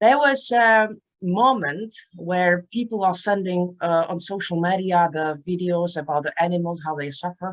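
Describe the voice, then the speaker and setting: The speaker has a Czech accent and keeps a moderate pace. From Czech Republic. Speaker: author and transformational speaker. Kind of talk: interview.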